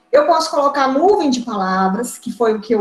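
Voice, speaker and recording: A woman speaks over noticeable background noise. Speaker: biology teacher and course instructor. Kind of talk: online lecture. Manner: fast.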